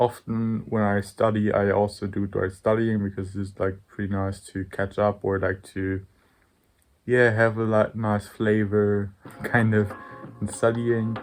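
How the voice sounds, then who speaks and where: At a fairly slow pace, a man speaks in a fairly low pitch with monotone, flat intonation. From Germany. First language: German. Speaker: vlogger, university student. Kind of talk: casual vlog chat. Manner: casual, filler-heavy with many 'like'.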